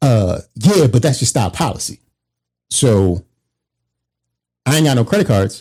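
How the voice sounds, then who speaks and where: A man with an American accent, medium-pitched with a dark, mellow tone, somewhat breathy, fairly slow with long, frequent pauses and very wide pitch swings, on a very clean recording with a silent background. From Baltimore, Maryland, US. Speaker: podcast co-host. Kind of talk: casual chat.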